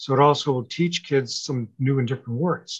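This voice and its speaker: Against a quiet background, a man speaks at a moderate pace in a fairly high pitch, somewhat breathy, with ordinary pitch variation. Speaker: author and grief speaker. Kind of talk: interview chat.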